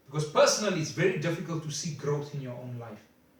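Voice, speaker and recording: Audible room echo around a fairly high male voice with ordinary pitch variation. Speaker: motivational speaker. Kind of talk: motivational talk. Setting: self-recorded video. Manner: halting.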